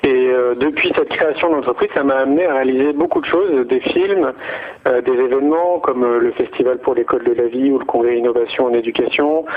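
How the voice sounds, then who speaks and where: Noticeable background noise sits behind a man with a fairly high pitch. His loudness is very even and his intonation fairly even. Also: fairly quick pace. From France. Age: 40s. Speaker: entrepreneur in education. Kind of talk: radio interview. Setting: radio studio. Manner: hesitant, many fillers.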